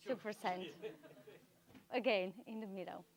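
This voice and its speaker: A woman speaks at a medium pitch. Her pace is moderate and her pitch variation ordinary. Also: dry, close sound with no echo. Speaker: sustainability media co-founder giving a conference talk. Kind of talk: conference talk. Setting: live event venue with audience. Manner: halting, with fillers and repetitions.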